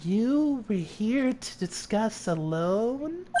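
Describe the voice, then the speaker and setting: A put-on character voice, female-sounding and fairly high, speaks quietly at a very slow pace. Background noise is clear. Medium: game stream. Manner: quiet, flat, creepy.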